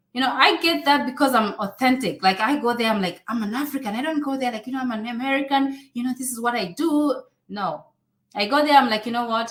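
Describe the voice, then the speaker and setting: Someone speaks at a fairly quick pace in a Kenyan accent. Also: woman. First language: Swahili. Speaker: online influencer and immigration advice youtuber. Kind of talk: live stream Q&A. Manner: animated.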